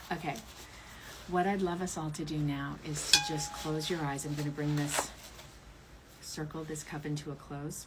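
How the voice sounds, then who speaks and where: A woman talks at a very deep, low pitch in a flat monotone, at a moderate pace with long, frequent pauses. Audible room echo and noticeable background noise fill the recording. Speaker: tarot reader and author. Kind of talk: livestream ritual.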